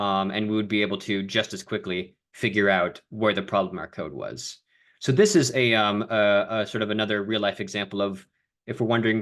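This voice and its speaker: A man talks in an ordinary speaking voice. His pitch is fairly low and his pace fairly quick. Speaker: coding mentor. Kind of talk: online coding lesson.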